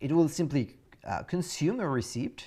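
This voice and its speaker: A French accent with very wide pitch swings against a quiet background. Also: man. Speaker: course instructor. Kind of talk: tutorial. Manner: halting, many fillers.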